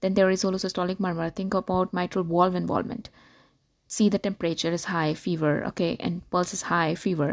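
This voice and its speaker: A woman with an unremarkable speaking voice, medium pitch, fairly even intonation, and a fairly quick pace, in dry, close sound with no echo. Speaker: medical lecturer. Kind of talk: lecture. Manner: repetitive, recaps lists.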